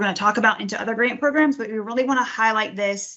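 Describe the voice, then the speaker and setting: A woman speaks at a fairly high pitch with fairly even intonation. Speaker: grants division director presenting training. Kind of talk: webinar training presentation. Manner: fast; frequent um fillers.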